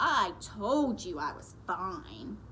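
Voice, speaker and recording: Against clear background noise, a female-sounding voice performs a put-on character voice. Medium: read story. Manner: playful, whiny.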